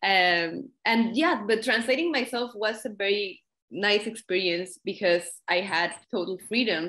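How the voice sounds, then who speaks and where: Speaking at a fairly slow pace with a Spanish accent, a woman keeps her loudness very even, her medium-pitched voice bright and sharp in tone with lively intonation. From Mexico. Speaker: poet and translator. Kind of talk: interview conversation.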